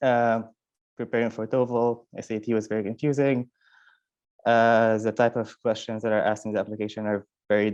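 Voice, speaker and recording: A man with a non-native accent talks at a fairly quick pace in a monotone, flat intonation. He leaves long, frequent pauses against a quiet background. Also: medium pitch for a man. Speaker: university student. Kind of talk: panel testimony.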